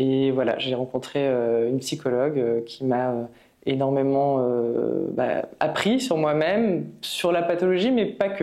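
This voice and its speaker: A woman's very deep, low voice with a dark, mellow tone, at a very slow pace. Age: 30s. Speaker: patient with multiple sclerosis. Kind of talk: testimony. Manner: halting, many hesitations.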